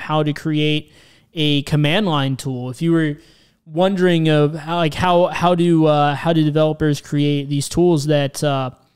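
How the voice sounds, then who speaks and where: A man at a fairly slow pace, fairly even in intonation, against a quiet background. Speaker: programming tutorial host. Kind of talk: tutorial. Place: home room. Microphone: studio mic.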